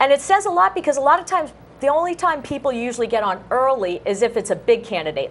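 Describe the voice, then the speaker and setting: A woman speaks loudly at a very fast pace. Her pitch swings very widely. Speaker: local access TV co-host. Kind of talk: casual talk show chat. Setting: TV studio.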